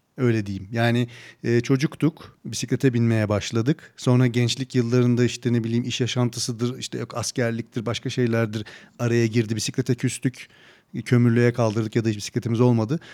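A man talks at a fairly quick pace in a dark, mellow tone. His intonation is flat and monotone, and the sound is dry and close with no echo. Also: medium pitch for a man. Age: 40s. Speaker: podcast host. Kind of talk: casual interview.

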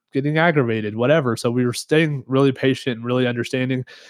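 In a normal speaking voice, a man talks at a medium pitch with ordinary pitch variation, the sound dry and close with no echo on a very clean recording with a silent background. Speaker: podcast co-host and racing fan. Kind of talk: casual chat.

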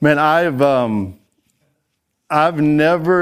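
This man has a Texan accent. His pitch sits fairly high. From Texas. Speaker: ministry leader. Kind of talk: conference talk. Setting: stage with audience.

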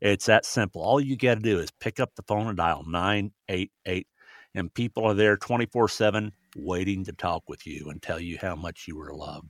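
With an American accent, a man speaks at a moderate pace in an ordinary speaking voice, fairly low in pitch with ordinary pitch variation and big swings in loudness, the sound dry and close with no echo on a very clean recording with a silent background. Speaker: bereaved grandfather, suicide prevention advocate. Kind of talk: testimony.

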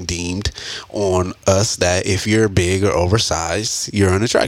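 Fairly even intonation from a man, with noticeable background noise. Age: 30s. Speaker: podcast co-host. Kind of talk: casual chat.

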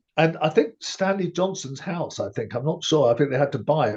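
Over a quiet background, a somewhat breathy man with a British accent speaks at a fairly quick pace. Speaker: podcast host. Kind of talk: casual chat. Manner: measured, with frequent filler pauses.

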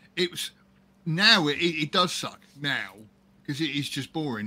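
The voice has a bright, sharp tone in a British accent. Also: man. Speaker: podcast host. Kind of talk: casual banter, crude humor.

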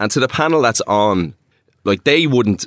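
On a very clean recording with a silent background, a man speaks with an Irish accent. The sound is dry and close with no echo. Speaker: DJ and producer. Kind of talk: casual interview chat.

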